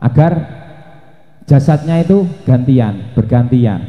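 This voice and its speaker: Amid audible room echo, a man with a Javanese accent talks at a fairly slow pace with ordinary pitch variation. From Java, Indonesia. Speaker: Islamic preacher. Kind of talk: religious sermon.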